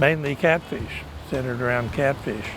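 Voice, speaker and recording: Over music in the background, a man with an American accent speaks at a medium pitch with fairly even intonation. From Oklahoma. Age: 80s+. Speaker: fish farmer. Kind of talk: interview.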